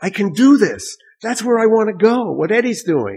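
A man with a New York accent speaks at a moderate pace. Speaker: jazz musician. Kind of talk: casual interview.

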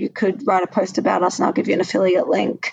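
Vocal fry runs through this voice, which has a dry, close sound with no echo. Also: woman. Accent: Australian. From Australia. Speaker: watch brand co-founder. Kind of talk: interview.

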